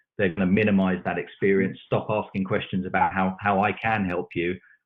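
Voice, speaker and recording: A British accent in a man's very deep, low voice, fairly quick in pace, with monotone, flat intonation. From UK. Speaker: technology expert panelist. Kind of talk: panel discussion. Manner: halting, repeats words.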